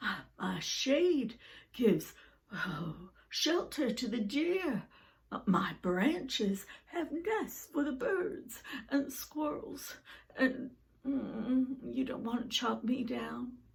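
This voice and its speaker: Very slowly, a female-sounding voice speaks in a high-pitched, put-on character voice. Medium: read story.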